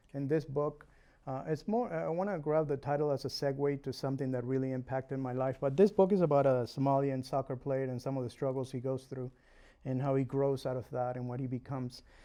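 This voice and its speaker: Speaking with a Uruguayan accent, a man keeps a fairly quick pace. His tone is dark and mellow. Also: medium pitch for a man, ordinary pitch variation. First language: Spanish. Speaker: realtor and home inspector. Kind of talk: interview. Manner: hesitant, many fillers.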